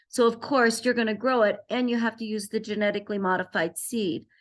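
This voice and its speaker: With a quiet background, a woman talks at a fairly quick pace in a fairly high pitch with fairly even intonation. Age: 60s. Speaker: wellness entrepreneur and health activist. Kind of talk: informal presentation.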